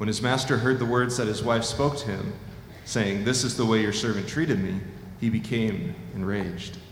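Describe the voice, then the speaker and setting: There is noticeable background noise as a man speaks at a moderate pace with medium pitch and ordinary pitch variation. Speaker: scripture reader. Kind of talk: reading aloud.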